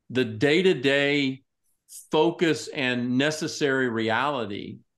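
Against a quiet background, a man with a Texan accent talks at a very slow pace and a fairly high pitch with ordinary pitch variation. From Texas, Tyler (East Texas). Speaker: pastor and ministry executive. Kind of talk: casual interview.

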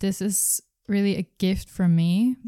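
Very slowly, a woman speaks in a dark, mellow tone. The recording is very clean with a silent background and a dry, close sound with no echo. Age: 20s. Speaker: spiritual wellness podcaster. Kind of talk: solo monologue podcast.

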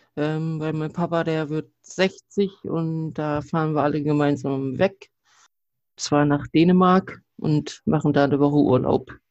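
A man with a plain, everyday voice speaks at a fairly high pitch. His intonation is fairly even and his pace fairly slow. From northeastern Germany. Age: 30s. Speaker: podcast guest, wrestling fan. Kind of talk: casual chat.

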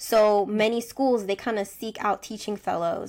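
A woman with an American accent speaks in a plain, everyday voice at medium pitch and a moderate pace. The recording is very clean, with a silent background. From United States. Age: 20s. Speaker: teacher and podcast co-host. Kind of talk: casual chat.

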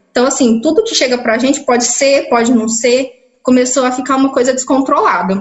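Her pitch high with ordinary variation, a woman speaks at a fairly quick pace with hardly any pauses. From interior of São Paulo state, Brazil (Ituverava). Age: 20s. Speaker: biomedical scientist. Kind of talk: interview testimony. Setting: video call. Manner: halting.

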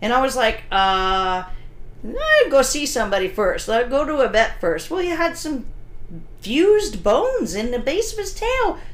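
Loud and at a moderate pace, a woman with an American accent speaks at a high pitch with very wide pitch swings. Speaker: dog trainer and podcast host. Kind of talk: casual podcast chat. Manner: loud, blunt.

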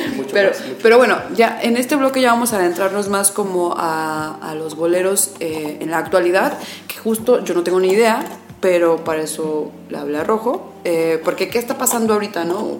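Her pitch is medium for a woman, and her intonation is lively at a moderate pace. Noticeable background noise and audible room echo are present. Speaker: internet radio host. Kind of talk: radio interview.

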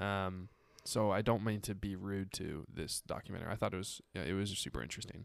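In a very clean recording with a silent background, a man talks in an ordinary speaking voice, fairly low in pitch, at a fairly quick pace with fairly even intonation. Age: 20s. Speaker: podcast host. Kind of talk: casual chat.

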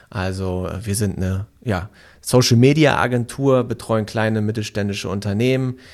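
A man speaks fairly low at a fairly slow pace. The recording is very clean, with a silent background. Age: 20s. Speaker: podcast co-host and social media agency owner. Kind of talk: casual interview, answering as guest. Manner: frequent filler sounds, hesitant.

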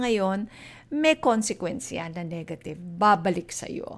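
On a very clean recording with a silent background, a woman with a Filipino accent speaks at a moderate pace. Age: 50s. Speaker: podcast host, personal finance educator. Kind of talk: solo podcast talk, Taglish.

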